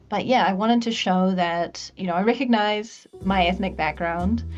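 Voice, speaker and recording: At a moderate pace, a woman with a medium-pitched voice speaks in an American accent. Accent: sounds American. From New Zealand. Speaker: vtuber streamer. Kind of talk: casual chat.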